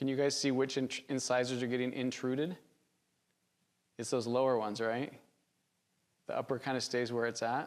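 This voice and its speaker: A man speaks at a fairly quick pace and a medium pitch, with long, frequent pauses. His intonation is monotone and flat, and the recording is very clean with a silent background. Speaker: orthodontics instructor. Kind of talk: lecture. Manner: fast; casual conversational.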